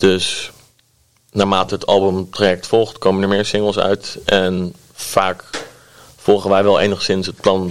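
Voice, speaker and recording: Very slow delivery in a monotone, flat intonation. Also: man. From Netherlands, Delft. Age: 20s. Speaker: record label manager and band musician. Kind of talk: interview conversation.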